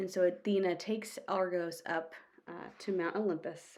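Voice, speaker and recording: Using a put-on character voice, a woman speaks raspy and monotone, with flat intonation, at a medium pitch and moderate pace. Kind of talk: classroom read-aloud. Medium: read story. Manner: plain, informal, with hesitations.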